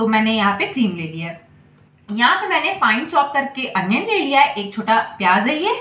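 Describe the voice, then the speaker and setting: A woman speaks at a moderate pace. Room echo is audible around her voice. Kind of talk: cooking tutorial. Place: kitchen. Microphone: phone near.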